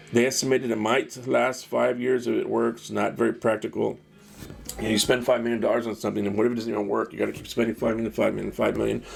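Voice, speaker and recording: Over music in the background, a man with an American accent talks at a very fast pace. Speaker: podcast host. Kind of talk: casual monologue.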